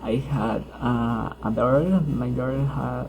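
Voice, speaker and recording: Audible room echo is present in this recording. The man's delivery is very slow. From Colombia, Huila. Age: 20s. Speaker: university student. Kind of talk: class self-introduction. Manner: halting, many hesitations.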